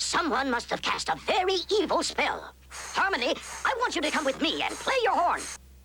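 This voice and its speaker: This is a cartoonish character voice at a moderate pace. Background noise is clearly audible. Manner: calm, authoritative.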